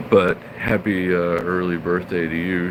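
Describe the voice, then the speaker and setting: A fairly slow, very deep, low male voice in an American accent, with noticeable background noise. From California. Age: 40s. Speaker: live streamer. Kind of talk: casual chat. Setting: live stream.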